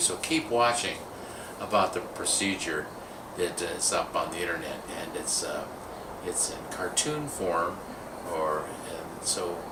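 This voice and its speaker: There is noticeable background noise and audible room echo. A man speaks at a fairly low pitch and a fairly slow pace. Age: 60s. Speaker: video producer sharing personal experience. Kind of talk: casual testimonial monologue.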